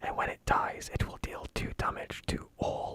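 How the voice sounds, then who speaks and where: Someone whispers at a fairly slow pace in a gentle, calm tone. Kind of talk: whispered gaming commentary. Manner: whispered, gentle, calm.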